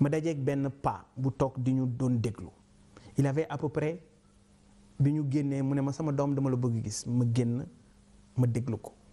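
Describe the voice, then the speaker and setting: With a dark, mellow tone, a man talks at a fairly slow pace, with fairly even intonation and long, frequent pauses. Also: medium pitch for a man. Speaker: politician and businessman. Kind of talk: interview.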